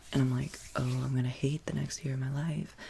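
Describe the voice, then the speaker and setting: A man speaks softly in a somewhat breathy voice. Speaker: ASMR creator. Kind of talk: ASMR soft-spoken chat. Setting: in bed at home. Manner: soft-spoken.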